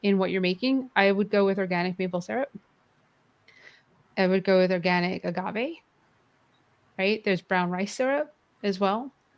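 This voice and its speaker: A woman with a New York accent speaks at a medium pitch with ordinary pitch variation. She leaves long, frequent pauses. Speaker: vegan cooking guest. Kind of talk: casual interview chat. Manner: halting, self-correcting.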